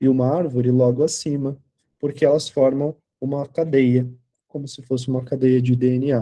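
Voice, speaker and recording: With a dark, mellow tone and medium pitch, a man speaks at a moderate pace. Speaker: tarot teacher. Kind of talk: lecture. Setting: online class video call.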